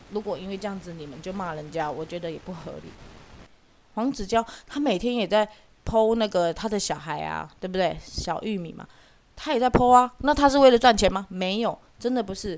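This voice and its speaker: Here a woman uses a normal speaking voice at a medium pitch and a fairly quick pace. Her intonation is lively, and her loudness swings a lot. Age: 40s. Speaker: podcast host. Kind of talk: casual solo commentary.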